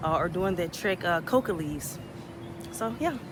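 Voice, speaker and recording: Noticeable background noise sits behind this woman's voice. She speaks at a moderate pace and a medium pitch. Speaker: travel vlogger. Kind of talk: casual vlog talk.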